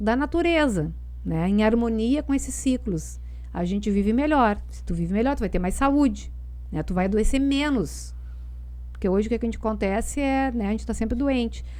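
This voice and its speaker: A woman speaks at a moderate pace, and audible room echo surrounds her voice. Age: 60s. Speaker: tai chi and Chinese body practices specialist. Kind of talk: casual interview chat.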